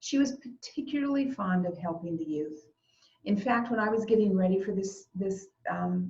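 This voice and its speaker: Her tone is dark and mellow, and her voice somewhat breathy. The woman talks at a moderate pace with ordinary pitch variation. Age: 60s. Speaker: eulogist. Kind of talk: eulogy. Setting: video call.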